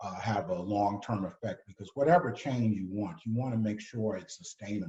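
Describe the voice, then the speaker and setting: A man with a New York accent speaks at a moderate pace in a fairly low, somewhat breathy voice. His tone is dark and mellow, with ordinary pitch variation. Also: hardly any pauses. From New York City. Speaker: retired ambassador. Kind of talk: moderated discussion.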